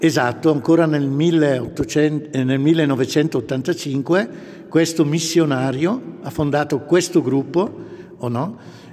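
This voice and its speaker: Speaking at a very slow pace, a man with a fairly high voice uses ordinary pitch variation against noticeable background noise. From northern Italy, Brescia province. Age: 60s. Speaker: grandfather and church volunteer. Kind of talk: interview. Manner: enthusiastic.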